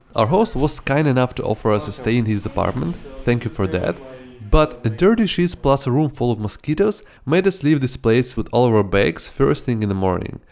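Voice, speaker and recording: Over background music, a man at medium pitch talks at a fairly quick pace with very wide pitch swings. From Ukraine. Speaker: travel vlogger. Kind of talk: scripted narration.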